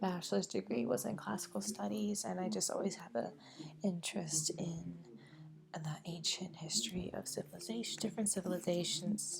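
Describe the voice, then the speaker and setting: A soft-spoken woman is whispering at a moderate pace. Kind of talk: ASMR whispered plant show-and-tell. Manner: whispered, soft-spoken.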